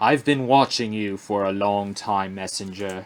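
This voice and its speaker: Putting on a character voice, a man speaks at a fairly low pitch in a British accent. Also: moderate pace. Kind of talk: grand, epic. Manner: menacing, dramatic.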